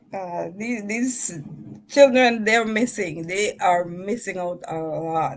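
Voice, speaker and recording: With noticeable background noise behind her, a woman talks using lively intonation. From St. Vincent and the Grenadines. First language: Vincentian Creole dialect. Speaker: author. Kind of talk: casual interview chat.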